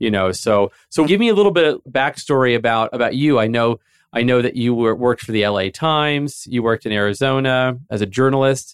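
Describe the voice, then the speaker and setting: Spoken at a fairly quick pace, a plain, everyday voice shows ordinary pitch variation. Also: man, medium pitch for a man. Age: 30s. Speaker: podcast host. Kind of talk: casual interview chat. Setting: office studio.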